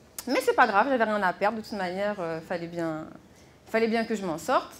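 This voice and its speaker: With a fairly quick pace, this woman delivers her words in lively intonation. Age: 30s. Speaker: health and hygiene inspector. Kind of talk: conference talk. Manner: hesitant with fillers.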